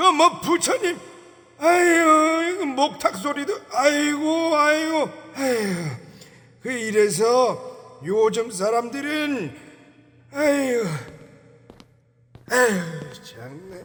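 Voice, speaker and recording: A put-on character voice, high in pitch, moves at a very slow pace. It leaves long, frequent pauses. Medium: audio drama. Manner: grumbling, sighing, scolding.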